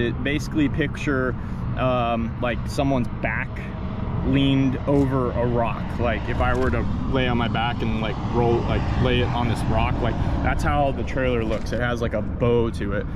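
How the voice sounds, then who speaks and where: Against loud background noise, a man talks at a moderate pace in a dry sound with no echo. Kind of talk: commentary. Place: open country. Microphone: phone near.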